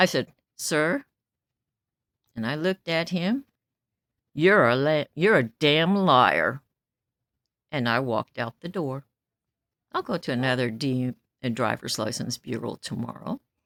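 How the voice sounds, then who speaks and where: A woman's very deep, low voice with a Midwestern US accent, fairly slow with long, frequent pauses, on a very clean recording with a silent background and a dry, close sound with no echo. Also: lively intonation. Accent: US Midwest. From Kansas City, Kansas. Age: 70s. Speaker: vlogger. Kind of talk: casual monologue. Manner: loud; animated.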